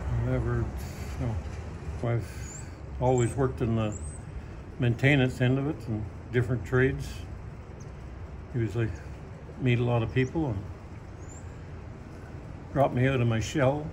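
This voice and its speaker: In a Canadian accent, a man with a medium pitch and vocal fry talks at a fairly slow pace with lively intonation and long, frequent pauses. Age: 70s. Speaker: volunteer firefighter. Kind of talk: interview answer. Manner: quiet, few words.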